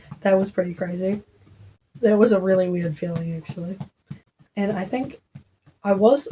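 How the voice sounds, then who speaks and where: With a New Zealand accent, a woman talks at a moderate pace in a dark, mellow tone, somewhat breathy and with fairly even intonation. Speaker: podcaster, new mother. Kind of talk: casual storytelling podcast. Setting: at home while breastfeeding. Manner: chatty, filler-heavy.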